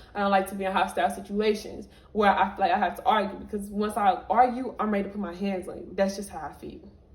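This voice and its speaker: Noticeable background noise runs under this recording. A woman talks at a very fast pace with a medium pitch. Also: hardly any pauses, big swings in loudness. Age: 20s. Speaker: vlogger. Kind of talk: storytime monologue. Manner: animated.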